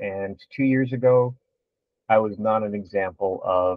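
A man's fairly low voice with ordinary pitch variation, dry with no echo, over a quiet background. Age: 50s. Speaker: fitness competitor; podcast guest. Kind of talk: casual video podcast interview. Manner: halting, many fillers. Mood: warm, reflective. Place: home room.

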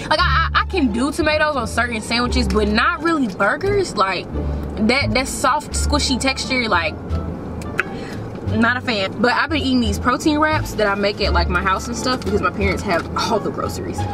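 A woman speaks at a moderate pace. Music is clearly audible behind her voice. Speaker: vlogger. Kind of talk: casual vlog chat. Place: car. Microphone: phone near.

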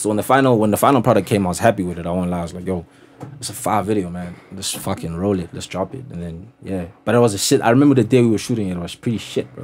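A man speaks very fast at fairly low pitch, with ordinary pitch variation and big swings in loudness. Light background noise is present. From South Africa, Pretoria; South Africa. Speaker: rapper; podcast guest. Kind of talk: casual chat. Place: studio. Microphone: studio mic.

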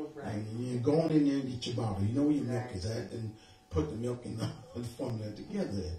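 The voice shows ordinary pitch variation, with clear music in the background and audible room echo. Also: man. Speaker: preacher. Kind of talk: sermon. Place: home room.

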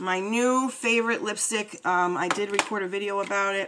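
Fairly slow female speech with ordinary pitch variation and noticeable background noise. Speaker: beauty YouTuber. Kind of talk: casual unboxing vlog. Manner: chatty, rambling.

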